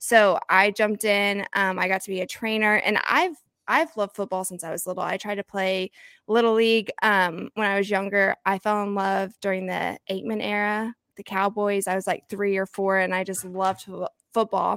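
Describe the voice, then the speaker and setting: A woman's normal speaking voice with an American accent, medium in pitch and fairly even in intonation, dry and close with no echo on a very clean recording with a silent background. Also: moderate pace. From Oklahoma, small town. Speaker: fantasy football podcaster and content analyst. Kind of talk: casual chat interview.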